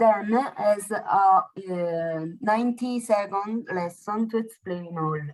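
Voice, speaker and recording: A woman with an Italian accent speaks very slowly at a medium pitch with ordinary pitch variation. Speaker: adult English student. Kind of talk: reading aloud. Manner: halting.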